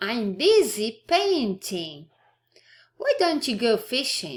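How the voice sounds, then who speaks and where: A woman in a put-on character voice speaks very slowly at a fairly high pitch, her pitch swinging very widely. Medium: read story.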